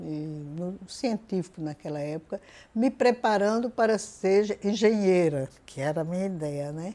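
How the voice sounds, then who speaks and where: A dark, mellow voice with lively intonation and big swings in loudness, at a fairly slow pace on a very clean recording with a silent background. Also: woman, medium pitch for a woman. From Northeast Brazil, Paraíba (Cariri, Campina Grande). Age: 80s+. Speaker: retired professor and educator. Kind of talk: interview testimony.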